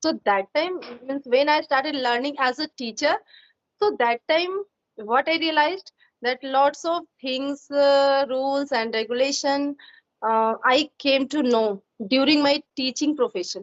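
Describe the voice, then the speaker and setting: A woman with a high-pitched voice talks at a fairly slow pace, her pitch varying in an ordinary way. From India, Uttar Pradesh (Jaunpur). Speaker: school teacher and YouTuber. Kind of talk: casual conversation practice. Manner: hesitant, many fillers.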